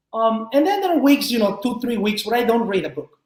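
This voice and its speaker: This man's intonation is lively. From Mexico. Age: 40s. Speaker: tech executive. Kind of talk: interview conversation. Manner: halting with many repeated words.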